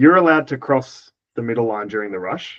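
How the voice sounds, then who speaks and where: In a quiet background, a man with an Australian accent talks at a moderate pace with very wide pitch swings. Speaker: dodgeball player and coach. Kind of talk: casual podcast chat.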